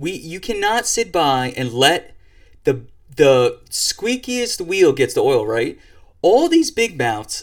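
Animated and high-pitched, a man with an American accent ranges through very wide pitch swings in a very clean recording with a silent background. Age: 30s. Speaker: podcast host. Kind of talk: opinion monologue.

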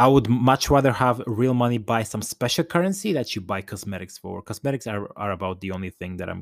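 A man talks fairly quickly on a very clean recording, the background silent. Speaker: gaming and fitness podcast host, personal trainer. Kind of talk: solo podcast monologue. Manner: animated, pitch rising when excited; halting, frequent repetitions and fillers.

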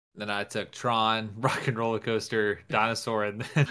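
This man has a normal speaking voice at medium pitch and a moderate pace. The recording is very clean, with a silent background. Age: 20s. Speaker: podcast co-host. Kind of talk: casual chat.

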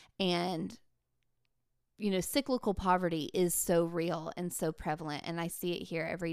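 In a very clean recording with a silent background, a woman speaks fairly quickly at a fairly low pitch with ordinary pitch variation. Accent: Appalachian. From Appalachia, western North Carolina. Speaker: theater educator and author. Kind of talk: casual interview.

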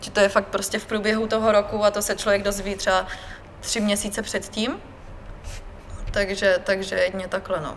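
Delivery is monotone and flat at a moderate pace, with long, frequent pauses. Noticeable background noise runs throughout. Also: woman, medium pitch for a woman. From Czechia, Brno (Moravia). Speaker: fitness expert at a sports retailer, crossfit athlete. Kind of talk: casual interview.

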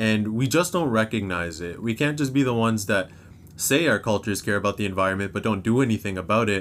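Talking at a very fast pace in a Canadian accent, a man has a fairly low pitch and ordinary pitch variation on a very clean recording with a silent background. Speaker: university student. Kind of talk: casual chat.

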